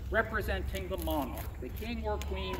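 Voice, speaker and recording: Noticeable background noise sits under a man speaking at a moderate pace. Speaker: costumed historic site guide. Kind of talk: tour guide talk. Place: garden. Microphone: camera far.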